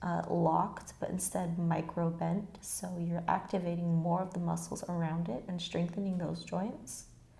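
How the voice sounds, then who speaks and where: A woman with a fairly low pitch speaks in a somewhat breathy, dark and mellow tone. Her pace is fairly slow, her pitch variation ordinary, and audible room echo surrounds her. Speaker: yoga teacher. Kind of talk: guided yoga class instruction. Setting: garage at home.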